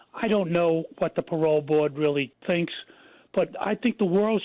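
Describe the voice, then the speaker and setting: This is an ordinary speaking voice at a moderate pace. Its pitch varies in an ordinary way. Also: man, very even loudness. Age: 60s. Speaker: retired police officer. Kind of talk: TV interview.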